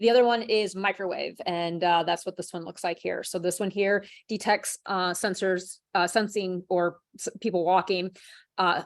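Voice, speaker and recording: Over a quiet background, a woman speaks. Her intonation is monotone and flat. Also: medium pitch for a woman. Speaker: product trainer. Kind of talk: product training webinar. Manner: fast.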